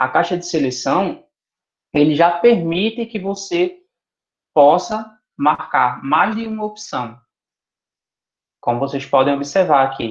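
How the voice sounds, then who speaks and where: A man speaks very slowly in a high pitch, leaving long, frequent pauses. His intonation is lively. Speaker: teacher trainer. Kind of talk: tutorial.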